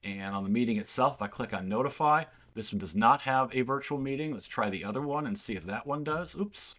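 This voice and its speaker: On a very clean recording with a silent background, a medium-pitched man talks at a fairly quick pace with lively intonation. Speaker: software company representative. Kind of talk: software demo tutorial. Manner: fast; casual, with fillers.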